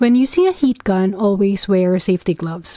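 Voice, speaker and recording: A woman speaks at a medium pitch and moderate pace with a Filipino accent and ordinary pitch variation. Noticeable background noise sits behind her. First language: Tagalog. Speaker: flower crafter. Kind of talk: tutorial. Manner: casual.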